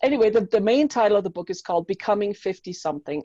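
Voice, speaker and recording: A woman speaks in a German accent with a dark, mellow tone. The sound is dry and close, with no echo. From Germany. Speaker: mindset coach and author. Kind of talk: interview. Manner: animated.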